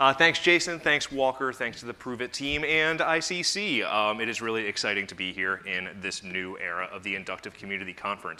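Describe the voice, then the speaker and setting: This man's voice sits fairly low in pitch. His intonation is lively. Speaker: software company presenter. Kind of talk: conference product demo presentation. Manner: fast.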